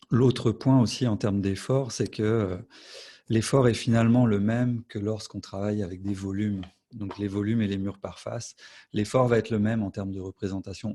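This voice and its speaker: In a dark, mellow tone, a man speaks at a moderate pace with a fairly low pitch and fairly even intonation. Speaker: BIM specialist presenting software. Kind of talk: webinar software demo. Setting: online webinar.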